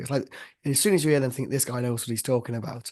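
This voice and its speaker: With an ordinary speaking voice, a man speaks at a medium pitch and fairly even intonation. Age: 20s. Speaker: podcast host. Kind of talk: casual chat.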